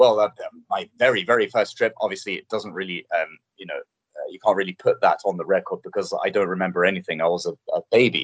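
At a fairly quick pace, a man with a London accent speaks in a dry, close recording with no echo. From England, North London. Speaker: TV presenter. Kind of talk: casual interview.

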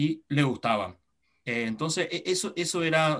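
A man with a Paraguayan accent speaks in a fairly high voice with ordinary pitch variation, the background quiet. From Paraguay, Encarnación. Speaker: padel federation developer. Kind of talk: interview.

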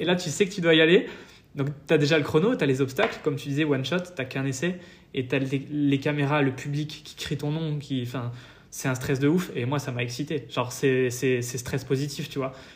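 Somewhat breathy and fairly high in pitch, a man speaks at a fairly quick pace with fairly even intonation. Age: 20s. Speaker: fitness youtuber. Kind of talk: interview.

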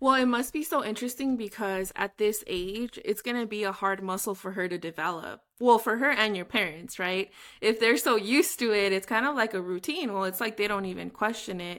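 An unremarkable speaking voice, this woman's fairly high pitch with ordinary pitch variation moves at a fairly quick pace with hardly any pauses, on a very clean recording with a silent background. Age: 30s. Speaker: podcast host. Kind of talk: interview conversation.

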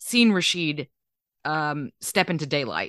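Speaking fairly slowly, a woman's bright, sharp voice makes very wide pitch swings. The sound is dry and close with no echo, and the background is quiet. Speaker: podcast co-host. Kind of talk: casual chat.

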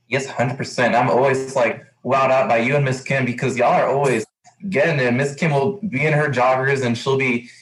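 A man with an American accent and an unremarkable speaking voice talks at a fairly quick pace. His loudness stays very even, and his pitch varies an ordinary amount. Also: medium pitch for a man. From Texas, El Paso. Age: 20s. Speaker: podcast host, university student staff. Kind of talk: interview.

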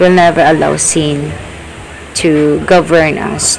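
A woman speaks over noticeable background noise. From Philippines. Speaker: listener. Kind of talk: recorded reflection.

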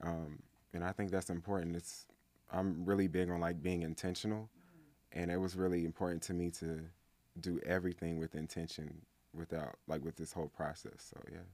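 A man with an American accent speaks at a moderate pace in a very deep, low, monotone and flat voice, captured in a very clean recording with a silent background. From US South. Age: 20s. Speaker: musician. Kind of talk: interview.

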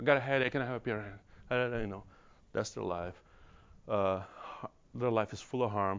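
This man speaks with a Brazilian accent at a moderate pace. His pitch is fairly low, with ordinary variation. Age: 50s.

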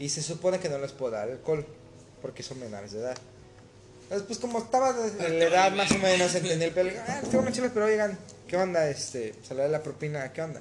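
A man's high-pitched voice at a very fast pace, with very wide pitch swings and noticeable background noise. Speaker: cook and waiter. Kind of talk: casual chat.

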